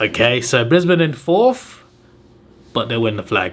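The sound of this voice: A man at a medium pitch, fairly bright in tone, with big pitch swings and a fairly slow pace.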